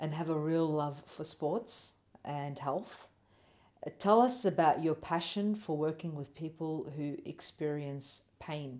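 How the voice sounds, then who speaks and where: Speaking very slowly, a woman with an Australian accent has a very deep, low pitch and a dark, mellow tone. Her pitch variation is ordinary. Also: very clean recording, silent background. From Australian city. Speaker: podcast host. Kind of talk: interview.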